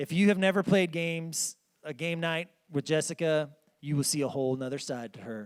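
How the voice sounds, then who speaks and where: On a very clean recording with a silent background, a man with a fairly high pitch and ordinary pitch variation talks at a fairly quick pace. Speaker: pastor. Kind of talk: sermon. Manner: casual, conversational.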